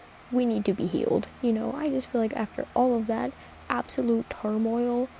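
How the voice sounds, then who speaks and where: Soft-spoken woman at a fairly high pitch, lively in intonation and moderate in pace, over noticeable background noise. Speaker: social media creator. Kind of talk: casual chat. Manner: halting.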